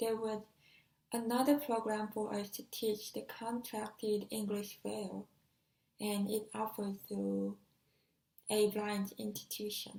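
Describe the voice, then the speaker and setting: A woman with a fairly high pitch and a dark, mellow tone speaks somewhat breathily at a fairly slow pace, monotone and flat, with long, frequent pauses. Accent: Korean. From South Korea. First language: Korean. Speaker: deafblind exchange student. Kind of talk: personal talk. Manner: halting, with some self-corrections.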